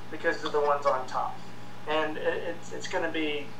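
Moderate pace, light background noise and audible room echo. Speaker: show host or panel guest. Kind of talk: casual tech commentary discussion. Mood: opinionated, ranting. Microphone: video call.

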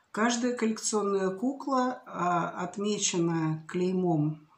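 A woman speaks at a very slow pace with ordinary pitch variation. Audible room echo surrounds her voice. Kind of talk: casual vlog chat. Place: home room. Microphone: webcam.

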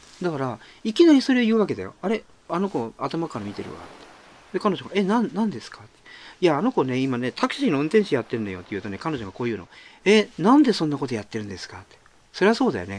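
A man at a very fast pace and fairly high pitch, with very wide pitch swings and big swings in loudness. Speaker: author and podcaster. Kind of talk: casual monologue. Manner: casual.

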